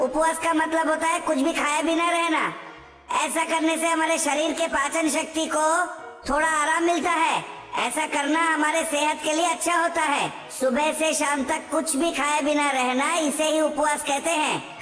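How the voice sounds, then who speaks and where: There is slight echo and clear background noise as a cartoonish character voice talks at a moderate pace. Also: woman. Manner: persuasive, wheedling.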